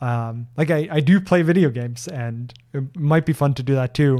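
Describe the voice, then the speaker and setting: A fairly high-pitched man with a slight Norwegian accent, ordinary pitch variation and a fairly slow pace, on a very clean recording with a silent background. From Norway. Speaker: software developer and streamer. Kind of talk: live-stream Q&A. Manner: hesitant, with many fillers and repeats.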